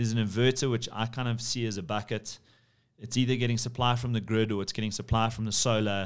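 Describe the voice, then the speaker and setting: In a South African accent, a man speaks at a fairly low pitch. The recording is very clean, with a silent background. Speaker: podcast host, property firm CEO. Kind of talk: casual business chat.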